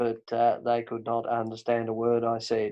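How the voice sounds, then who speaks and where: In a Tasmanian accent, a man speaks at a medium pitch. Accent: Tasmanian, broad. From Tasmania, Australia. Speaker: podcast host. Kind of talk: casual chat.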